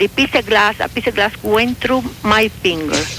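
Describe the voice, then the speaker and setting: A woman speaks with a strong Cuban accent and ordinary pitch variation over noticeable background noise. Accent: heavy Cuban Spanish. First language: Spanish. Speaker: radio show caller.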